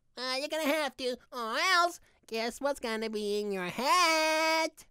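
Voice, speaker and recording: A put-on character voice speaks in a high pitch at a fairly slow pace. The tone is cheerful and upbeat. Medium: role play. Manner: cheerful, upbeat.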